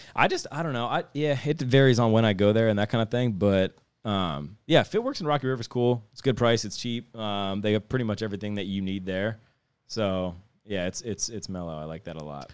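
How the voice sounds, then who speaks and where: The speaker has a Midwestern American accent and talks at a fairly quick pace. Intonation is lively, with big swings in loudness. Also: man. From northeast Ohio, Youngstown area. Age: 30s. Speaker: skateboarder. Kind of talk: casual chat.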